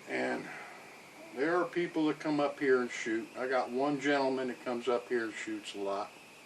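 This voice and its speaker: Noticeable background noise sits behind a man with a relaxed tone. His pitch is medium, with ordinary variation. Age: 60s. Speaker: outdoor vlogger. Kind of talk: casual talk to camera. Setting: outdoors on cabin porch. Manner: relaxed, unhurried.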